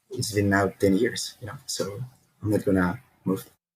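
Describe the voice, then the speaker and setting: A man speaks with a Spanish accent at a fairly quick pace. His voice is somewhat breathy. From Peru. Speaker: startup founder, engineer. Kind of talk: podcast interview.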